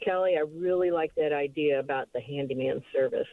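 A plain, everyday voice, a woman's, at a fairly slow pace. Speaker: caller. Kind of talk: casual chat. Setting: phone call.

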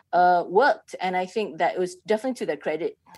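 Speaking at a moderate pace, a woman is heard against a quiet background. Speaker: writer and playwright, critic guest. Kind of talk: casual conversational review discussion, thinking aloud, not radio DJ patter. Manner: hesitant, filler-heavy, reflective, casual.

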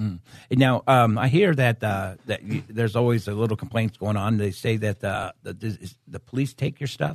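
Recorded with a dry, close sound and no echo, a man speaks in an ordinary speaking voice at medium pitch, with ordinary pitch variation and a moderate pace. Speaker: radio host and pastor. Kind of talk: radio show hosting and interview. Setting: studio.

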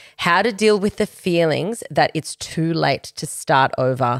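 With an Australian accent, a woman with a very deep, low pitch speaks in an animated tone and very wide pitch swings, the recording very clean, dry and close, with no echo and a silent background. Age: 30s. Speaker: podcast host. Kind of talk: casual chat.

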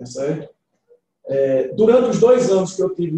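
A somewhat breathy male voice at a fairly slow pace, with ordinary pitch variation. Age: 50s. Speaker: civil engineer and club presidential candidate. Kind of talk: interview, campaign pitch. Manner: halting, many fillers.

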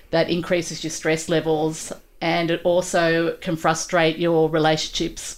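This woman speaks at a fairly slow pace in a fairly low, flat monotone. Her loudness stays very even over a very clean recording with a silent background. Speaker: audiologist. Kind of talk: casual interview chat.

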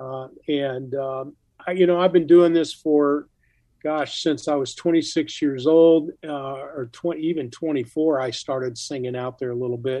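A fairly slow delivery with a dark, mellow tone and fairly even intonation. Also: man, fairly high pitch for a man. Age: 70s. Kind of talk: interview.

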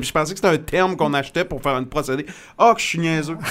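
A man with a normal speaking voice, fairly high in pitch, with ordinary pitch variation. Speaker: radio host and podcast host. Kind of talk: casual interview. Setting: studio.

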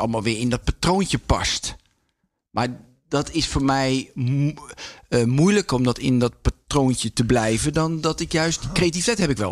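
Speaking at a fairly quick pace, a man uses an ordinary speaking voice with medium pitch and ordinary pitch variation. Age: 50s. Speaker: former pro speed skater and radio maker. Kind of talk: casual interview.

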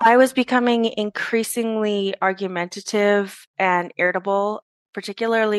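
In a normal speaking voice, a woman talks at medium pitch with fairly even intonation, the sound dry and close with no echo. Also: quiet background. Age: 30s. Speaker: high school English teacher. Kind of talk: personal testimony.

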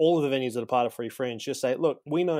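Medium in pitch, this man speaks with an Australian accent. His pitch varies in an ordinary way. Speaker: comedian. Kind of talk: storytelling.

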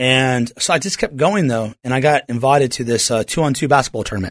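This man has an unremarkable speaking voice with an American accent, medium pitch and ordinary pitch variation. He talks at a moderate pace on a very clean recording with a silent background and a dry, close sound with no echo. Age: 40s. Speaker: pastor. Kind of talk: radio interview; sermon.

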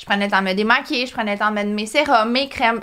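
A woman talks with a Quebec accent at a fairly high pitch. Her tone is bright and sharp, with ordinary pitch variation. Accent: Québécois French. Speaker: entrepreneur, skincare company founder. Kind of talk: interview, personal story.

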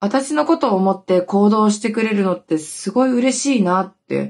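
A woman talks at a moderate pace. Her pitch is medium. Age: 30s. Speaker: podcast host and TikTok creator. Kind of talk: casual solo talk. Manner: animated, frequent laughter.

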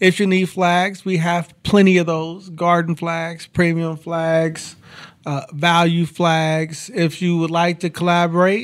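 In an American accent, a man speaks at a fairly slow pace. His pitch is high and his intonation fairly even. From Kansas, Topeka. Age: 40s. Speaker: apparel business owner. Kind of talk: casual interview.

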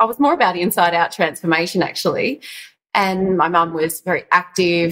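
Speaking at medium pitch with ordinary pitch variation, a woman has an Australian accent. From Australia, Yarra Valley east of Melbourne. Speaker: stylist and colour consultant. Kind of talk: interview.

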